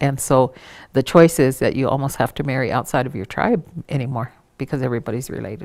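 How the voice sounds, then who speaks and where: Very fast woman with a very deep, low pitch and ordinary pitch variation. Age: 60s. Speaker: Native elder and cultural trainer. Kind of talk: interview monologue on culture. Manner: reflective, with frequent hesitations.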